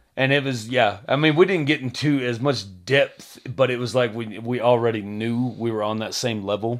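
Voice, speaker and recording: With an American accent, a man speaks in a normal speaking voice at a medium pitch and moderate pace, with ordinary pitch variation and hardly any pauses. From Texas. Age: 30s. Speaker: podcast co-host. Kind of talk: casual chat.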